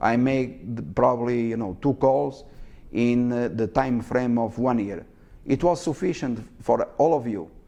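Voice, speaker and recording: A man with a non-native accent and a dark, mellow tone speaks at medium pitch and a fairly slow pace, with ordinary pitch variation. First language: not English. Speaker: stock market educator. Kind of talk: live market commentary. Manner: halting, many fillers.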